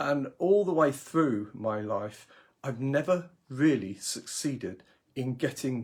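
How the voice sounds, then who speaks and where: Speaking at a fairly slow pace with a British accent, a man sounds somewhat breathy on a very clean recording with a silent background. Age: 60s. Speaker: career coach. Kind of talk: live video blog. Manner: halting, many fillers and repetitions.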